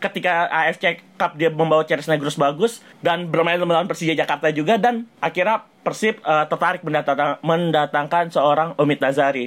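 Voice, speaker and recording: A man with an Indonesian accent talks at a very fast pace with hardly any pauses. His pitch is fairly high and varies in an ordinary way. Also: very even loudness. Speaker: podcast co-host. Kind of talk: casual chat.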